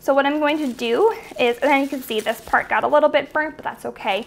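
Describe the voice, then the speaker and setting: High-pitched and with lively intonation, a woman speaks at a fairly quick pace. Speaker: home cook host. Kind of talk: tutorial. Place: kitchen.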